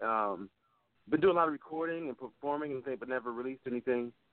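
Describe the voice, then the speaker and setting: Speaking at a very fast pace, a man uses a medium pitch and ordinary pitch variation. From Connecticut. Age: young. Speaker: saxophonist. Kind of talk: interview.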